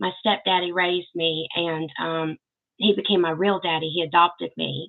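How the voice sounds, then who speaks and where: A woman's fairly low voice with a Southern accent and fairly even intonation. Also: moderate pace. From US South, Arkansas. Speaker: YouTube host, Elvis fan channel. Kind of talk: livestream Q and A chat. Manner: casual, chatty.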